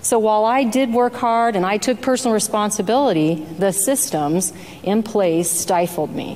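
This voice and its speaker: The speech moves at a moderate pace with ordinary pitch variation, and noticeable background noise runs underneath. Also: woman, fairly high pitch for a woman. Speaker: state senator. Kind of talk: legislative floor debate. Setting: senate chamber floor. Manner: soft-spoken.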